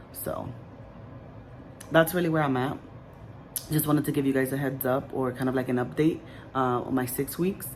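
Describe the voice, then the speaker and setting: A woman's very deep, low voice with fairly even intonation and audible room echo. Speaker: vlogger sharing weight-loss surgery journey. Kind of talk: casual vlog update. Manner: hesitant, many fillers.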